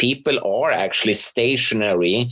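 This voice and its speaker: Here a man speaks with a Swedish accent. His pitch is medium and his pace fairly slow. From Sweden. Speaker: professor and researcher. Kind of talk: interview.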